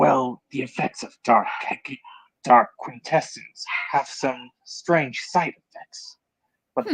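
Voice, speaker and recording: The speaker uses a put-on character voice at a low-to-middle pitch, moving at a very slow pace with long, frequent pauses. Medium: game stream. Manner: haughty, threatening.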